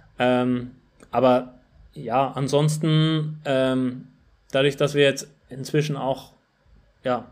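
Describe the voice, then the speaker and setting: A man's medium-pitched voice, very slow and monotone, with flat intonation. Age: 20s. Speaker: running shop marketer and former competitive runner. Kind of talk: casual interview. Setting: remote call.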